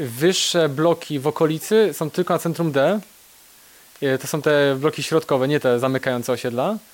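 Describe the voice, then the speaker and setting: Here is a man with a plain, everyday voice and fairly high pitch. He speaks at a moderate pace. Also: ordinary pitch variation. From Poland, Kraków (Nowa Huta). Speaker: IT specialist. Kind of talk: interview.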